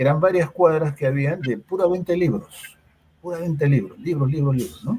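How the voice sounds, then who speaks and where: A man's dark, mellow voice, fairly high in pitch, with ordinary pitch variation and a fairly quick pace. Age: 60s. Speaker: psychologist. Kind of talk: interview. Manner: hesitant, many fillers.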